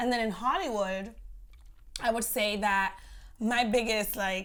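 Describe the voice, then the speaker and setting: With an American accent, a woman speaks at medium pitch with ordinary pitch variation, and audible room echo surrounds her voice. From New York and Miami. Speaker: actress. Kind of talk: casual interview chat.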